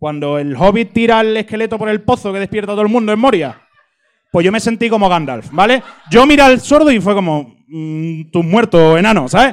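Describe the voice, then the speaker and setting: Lively intonation colors speech that proceeds at a moderate pace. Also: man. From Cádiz, Spain. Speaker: audience member. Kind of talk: storytelling. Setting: stage with audience.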